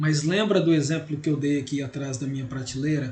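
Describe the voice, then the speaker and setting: A loud male voice with audible room echo. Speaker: law teacher. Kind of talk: lecture. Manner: gets loud as the class goes on.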